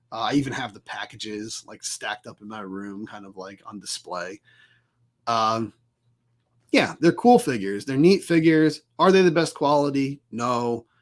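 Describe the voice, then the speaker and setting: A man with a normal speaking voice talks at a medium pitch and moderate pace, his intonation lively and his loudness swinging widely, in a very clean recording with a silent background. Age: adult. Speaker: podcast host. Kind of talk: solo podcast review.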